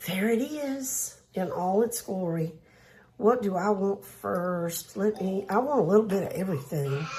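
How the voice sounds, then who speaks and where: A woman with a Southern US accent speaks at medium pitch and a fairly slow pace. Her intonation is lively, and there is noticeable background noise. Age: old. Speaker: cooking channel host. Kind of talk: cooking tutorial. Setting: home kitchen. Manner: chatty, folksy.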